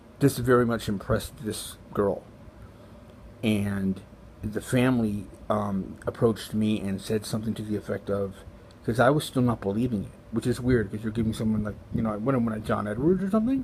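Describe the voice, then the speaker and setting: A man with an American accent speaks at a fairly quick pace in a fairly low pitch, somewhat breathy, with fairly even intonation. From Los Angeles, US. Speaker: vlogger sharing spiritual experiences. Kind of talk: personal testimony monologue. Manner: fast; halting, many fillers.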